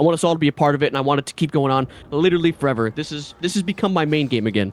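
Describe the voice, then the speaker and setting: Rattling along at a very fast pace, a man with a New York accent speaks in an animated tone at a fairly high pitch, in a dry, close sound with no echo. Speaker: gamer and streamer. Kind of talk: podcast discussion.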